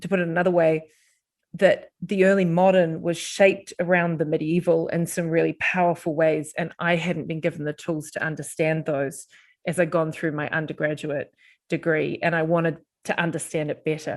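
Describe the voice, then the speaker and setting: A woman's fairly low, monotone, flat voice at a moderate pace, in a very clean recording with a silent background. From New Zealand. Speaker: professor. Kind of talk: podcast interview. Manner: hesitant, with fillers and restarts.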